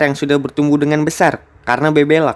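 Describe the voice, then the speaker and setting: A man's fairly high voice at a very fast pace. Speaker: film recap narrator. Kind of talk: movie recap narration. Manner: joking, casual.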